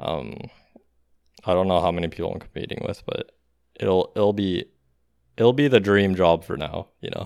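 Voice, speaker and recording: A man speaks with a very deep, low pitch and ordinary pitch variation. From outside the US. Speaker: podcast co-host. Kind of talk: casual chat. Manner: energetic.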